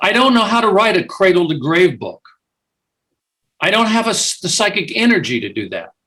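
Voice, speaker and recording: A raised, projected voice with an American accent, lively intonation, a fairly quick pace and long, frequent pauses. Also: man, high pitch for a man. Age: 70s. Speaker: author and biographer. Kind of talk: interview. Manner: halting.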